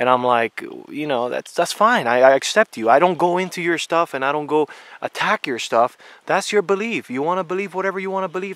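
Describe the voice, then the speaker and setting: With an American accent, a man talks at a fairly quick pace. His intonation is lively. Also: dry, close sound with no echo. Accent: foreign accent from other languages. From came to US as a child, also lived abroad. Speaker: outdoor Bigfoot researcher vlogger. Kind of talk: casual vlog monologue. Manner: repetitive, stammering restarts.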